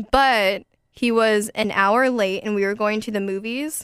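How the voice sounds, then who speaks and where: A woman speaks in a normal speaking voice with a fairly high pitch. Her recording is very clean, the background silent. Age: young. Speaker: dating podcast host. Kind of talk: casual chat.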